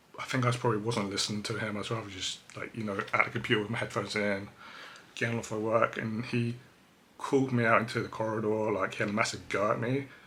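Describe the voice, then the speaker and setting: Over noticeable background noise, a man with medium pitch talks at a very fast pace in a monotone, flat intonation. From England, Cambridge. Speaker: vlogger. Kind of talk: personal testimony. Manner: hesitant, filler-heavy.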